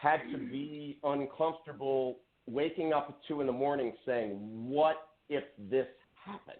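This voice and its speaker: A man with an American accent at a fairly slow pace, with ordinary pitch variation and big swings in loudness. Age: 60s. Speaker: political candidate, entrepreneur. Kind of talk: radio interview. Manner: animated.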